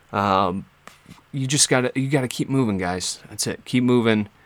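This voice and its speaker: A man with a medium pitch and ordinary pitch variation talks fairly slowly. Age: 20s. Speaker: podcast host and musician. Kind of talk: casual monologue. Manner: hesitant, many fillers.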